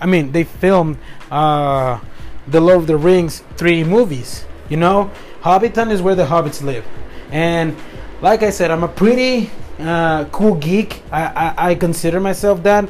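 Speaking fairly slowly with a Spanish accent, a man uses a high pitch and ordinary pitch variation. Noticeable background noise runs underneath. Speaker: podcast host. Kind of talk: motivational monologue. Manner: animated, upbeat; halting, self-correcting.

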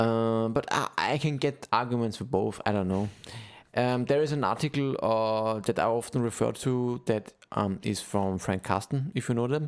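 A man's normal speaking voice at medium pitch and moderate pace, with ordinary pitch variation, very even loudness, and a very clean recording against a silent background. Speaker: podcast host. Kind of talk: casual chat.

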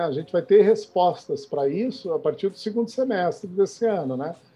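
A man's high-pitched voice with lively intonation, music playing in the background. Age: 40s. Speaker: startup founder and CEO. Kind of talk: interview. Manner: halting, frequent repetitions.

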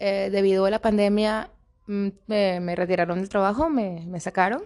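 A woman's plain, everyday voice at medium pitch, fairly slow pace, quiet background. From Caracas, Venezuela. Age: 30s. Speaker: Venezuelan migrant, administration technician. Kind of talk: testimony and cultural presentation.

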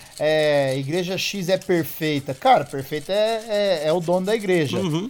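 This man has a high pitch and an animated tone, speaking at a fairly slow pace. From São José do Rio Preto, interior of São Paulo. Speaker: podcast host. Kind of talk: casual chat. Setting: outdoors on a rooftop. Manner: animated, slangy.

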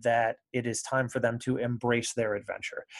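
Speaking at a moderate pace, a man with an American accent has an unremarkable speaking voice. His pitch is medium. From Michigan, US Midwest (Kalamazoo area). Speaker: creativity and business coach. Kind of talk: interview conversation.

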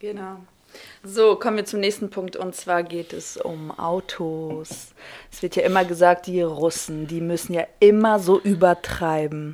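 Amid noticeable background noise, a woman's fairly low voice stays fairly even in intonation but shows big swings in loudness. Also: fairly slow pace. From Kazakhstan, moved to Germany as a child. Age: 30s. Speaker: guest co-presenter asking questions. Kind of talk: casual chat.

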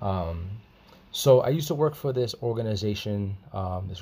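A man speaks at a moderate pace in a fairly low, dark, mellow voice. It is somewhat breathy, in a very clean recording with a silent background. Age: 20s. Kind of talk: personal testimony. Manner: halting, many fillers and repetitions.

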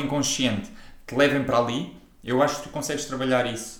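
There is audible room echo around a man speaking at medium pitch. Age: 20s. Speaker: personal trainer and podcast co-host. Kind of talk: casual chat.

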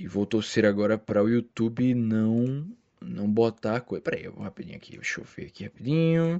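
Speaking fairly quickly with lively intonation, a man with a Brazilian accent holds a medium pitch. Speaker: solo podcaster. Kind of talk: casual monologue. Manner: animated; halting.

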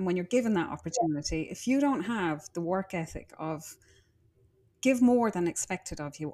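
A woman with an Irish accent speaks at a moderate pace in a medium pitch. Her tone is dark and mellow, and the recording is very clean with a silent background. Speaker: interior designer. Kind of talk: casual interview. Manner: animated.

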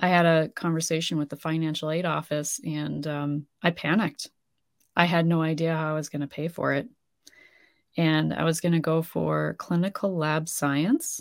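A woman with an Upper Midwest accent speaks at a moderate pace in a very deep, low pitch with fairly even intonation. The recording is very clean, with a silent background. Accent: Upper Midwest American. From US Midwest, North Dakota. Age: 40s. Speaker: grief coach and army veteran. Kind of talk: casual interview.

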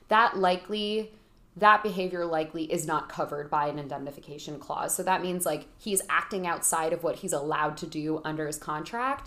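A woman with a plain, everyday voice talks at a fairly quick pace. Her pitch is fairly low, with ordinary variation. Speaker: lawyer, legal expert. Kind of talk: casual explanatory interview.

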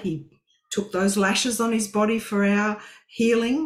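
Somewhat breathy and fairly high-pitched, a woman with an Australian accent speaks at a fairly slow pace. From Western Australia. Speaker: co-host of Bible study. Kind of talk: livestream Bible study.

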